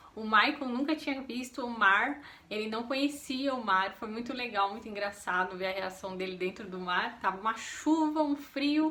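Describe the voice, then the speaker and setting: Over noticeable background noise, a woman with a fairly high pitch talks at a moderate pace with lively intonation and hardly any pauses. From São Paulo state, Brazil. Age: 30s. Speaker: vlogger. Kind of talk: casual chat.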